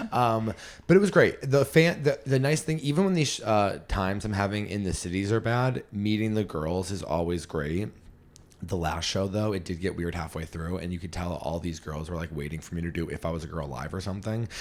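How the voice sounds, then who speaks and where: A man with an American accent, very deep and low in pitch, with lively intonation, an animated tone and a fairly quick pace. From Western Massachusetts (Berkshires). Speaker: stand-up comedian and podcast host. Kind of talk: casual podcast chat. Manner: loud.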